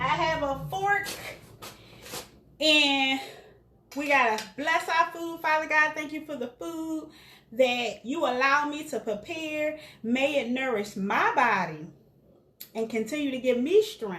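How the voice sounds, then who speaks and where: Speaking at a fairly slow pace with long, frequent pauses, a woman uses a raised, projected voice that is high for a woman, with a bright, sharp tone. Her intonation is lively, and audible room echo surrounds her. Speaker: caterer and cooking show host. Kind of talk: casual cooking demonstration.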